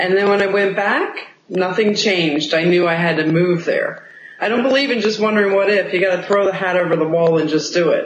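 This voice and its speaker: A woman at medium pitch and a fairly quick pace, with ordinary pitch variation, very even loudness, audible room echo and noticeable background noise. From United States. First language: Spanish. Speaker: real estate agent. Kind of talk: interview.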